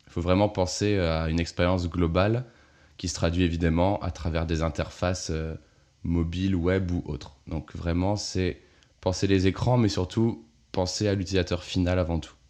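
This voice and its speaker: Against a quiet background, a man speaks in a very deep, low pitch with a dark, mellow tone, fairly even intonation and a moderate pace. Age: 20s. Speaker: interface designer. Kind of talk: interview. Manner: casual, with many hesitations.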